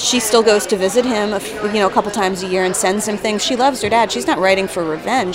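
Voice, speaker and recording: A woman speaks in a medium pitch at a fairly quick pace. Crowd noise can be heard in the background. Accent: American. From New Jersey. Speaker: comedian and writer. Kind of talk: interview. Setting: studio.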